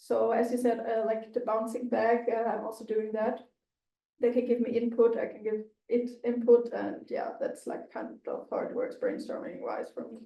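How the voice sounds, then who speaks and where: Speaking at a moderate pace with a non-native accent, a woman's voice shows big swings in loudness. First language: not English. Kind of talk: casual discussion. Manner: frequent 'like' fillers.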